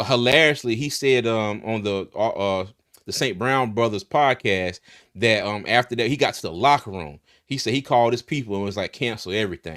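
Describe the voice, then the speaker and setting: In a very clean recording with a silent background and a dry, close sound with no echo, a man with an American accent speaks at a fairly quick pace. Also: medium pitch for a man, ordinary pitch variation. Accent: slight country. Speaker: sports podcast host. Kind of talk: casual sports talk show.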